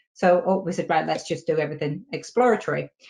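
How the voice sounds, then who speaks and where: Fairly low pitch in a woman's speech, with ordinary variation. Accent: British. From Britain. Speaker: software testing consultant. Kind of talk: casual chat. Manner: halting, many fillers.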